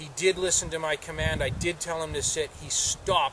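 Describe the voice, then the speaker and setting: A man talks at a moderate pace, the sound dry with no echo and noticeable background noise behind him. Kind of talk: casual explanation to camera. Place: open country.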